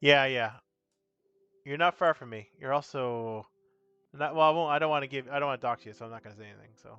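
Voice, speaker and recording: With music in the background, a man with a slight Newfoundland accent and a fairly high pitch talks at a very fast pace, with ordinary pitch variation, big swings in loudness, and long, frequent pauses. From Newfoundland, Canada. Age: 40s. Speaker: streamer, tabletop gaming enthusiast. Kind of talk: casual live-stream chat. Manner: casual, rambling with repetitions.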